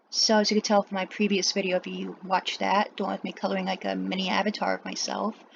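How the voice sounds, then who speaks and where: A woman talks at a very fast pace with hardly any pauses. Noticeable background noise runs underneath. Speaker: artist drawing on stream. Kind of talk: voiceover while drawing. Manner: long pauses, stuttering; trouble pronouncing some words. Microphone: laptop built-in mic.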